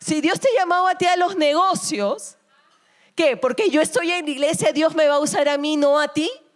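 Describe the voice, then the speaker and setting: A woman's high, animated voice with lively intonation, very even loudness and a moderate pace. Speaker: pastor. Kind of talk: sermon.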